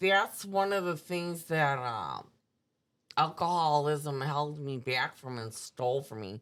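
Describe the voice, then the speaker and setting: In an Upper Midwest accent, a woman speaks at a very slow pace with a very deep, low pitch and big swings in loudness on a very clean recording with a silent background. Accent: Upper Midwest American. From US Midwest, suburban Milwaukee. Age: 60s. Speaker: recovering alcoholic sharing her story. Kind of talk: personal testimony in interview.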